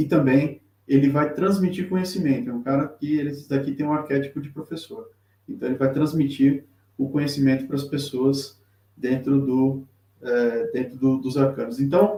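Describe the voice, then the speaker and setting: A man's somewhat breathy voice, fairly high in pitch, with a dark, mellow tone. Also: ordinary pitch variation, moderate pace. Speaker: tarot reader. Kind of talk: live-stream lecture. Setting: live stream with chat. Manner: halting, many fillers.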